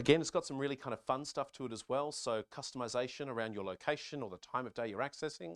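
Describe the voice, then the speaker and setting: A man speaks at a medium pitch and a very fast pace, with an Australian accent and ordinary pitch variation. The recording is very clean, with a silent background and a dry, close sound with no echo. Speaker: conference speaker, software company staff. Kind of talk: keynote presentation.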